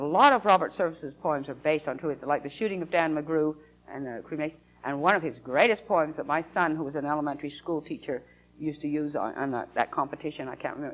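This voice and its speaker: A woman with an American accent talks very fast in a very deep, low pitch, with ordinary pitch variation. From Utah. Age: 60s. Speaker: atheist activist. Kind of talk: interview. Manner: halting.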